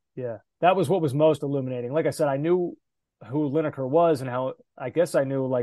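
Dry and close with no echo, a man's voice sits at a fairly high pitch with a dark, mellow tone. He keeps a moderate pace and ordinary pitch variation. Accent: American. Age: 30s. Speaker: soccer podcast host. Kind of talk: casual chat.

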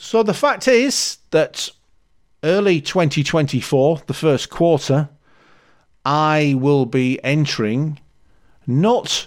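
On a very clean recording with a silent background, a man speaks with a Yorkshire accent. His pace is very slow and his intonation is lively. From Leeds, Yorkshire. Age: 50s. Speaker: podcast host, amateur runner. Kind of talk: solo podcast monologue. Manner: casual, chatty.

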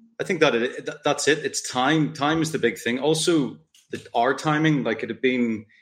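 At a moderate pace, a man talks with ordinary pitch variation in a normal speaking voice. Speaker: screenwriter and producer. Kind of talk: casual interview chat.

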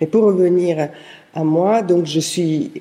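In an Italian accent, a woman speaks with a fairly low pitch and ordinary pitch variation. Her tone is dark and mellow. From southern Italy (Apulia). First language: Italian (speaking French). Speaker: historian and researcher. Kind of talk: interview. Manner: halting.

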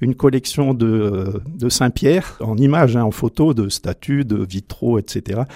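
A man with a medium-pitched, dark, mellow tone speaks very slowly, with hardly any pauses and ordinary pitch variation. The recording is very clean, with a silent background. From France, Drôme. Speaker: priest. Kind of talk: personal testimony. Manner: halting.

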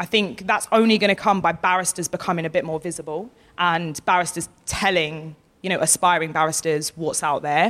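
A woman with an Essex accent, fairly low pitch, fairly even intonation and a fairly quick pace. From Essex, England. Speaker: barrister and author. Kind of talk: live interview. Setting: festival stage with audience.

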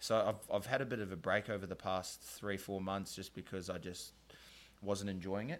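A New Zealand accent at a moderate pace, fairly even in intonation, on a very clean recording with a silent background. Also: man, fairly low pitch for a man. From New Zealand, South Auckland. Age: 20s. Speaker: podcast host and painter. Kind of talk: casual chat. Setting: studio.

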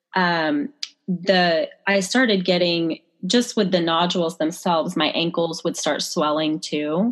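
A woman with an unremarkable speaking voice talks fairly slowly, with very even loudness and ordinary pitch variation. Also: fairly low pitch for a woman. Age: 30s. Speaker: chiropractor. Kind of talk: interview.

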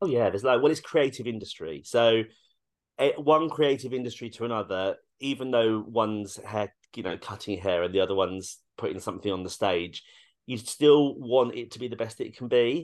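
In a quiet background, a man talks at a fairly quick pace. His intonation is lively and his loudness swings widely. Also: medium pitch for a man. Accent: British. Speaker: actor and dog groomer. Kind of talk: casual interview chat.

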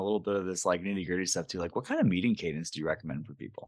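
On a very clean recording with a silent background, a man talks very fast. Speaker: podcast host. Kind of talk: interview conversation.

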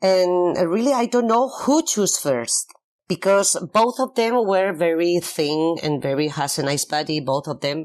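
A fairly slow delivery with a Spanish accent, on a very clean recording with a silent background. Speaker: singer in a pop duo. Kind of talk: interview. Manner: halting.

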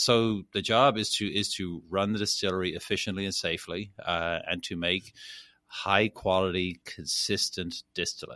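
In a very clean recording with a silent background, a man with a Dublin accent talks at a moderate pace in a fairly low pitch, his tone bright and sharp and his intonation fairly even. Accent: Irish (Dublin). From Ireland, Dublin. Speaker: master distiller. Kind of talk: interview.

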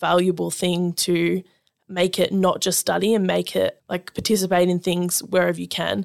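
At a moderate pace, a woman with an Australian accent speaks on a very clean recording with a silent background and a dry, close sound with no echo. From Australia, Melbourne. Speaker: university student ambassador. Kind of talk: casual interview. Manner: chatty, many fillers.

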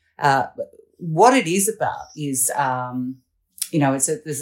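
Someone with an Australian accent speaks at a moderate pace in a very clean recording with a silent background. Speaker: political commentator. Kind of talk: casual chat.

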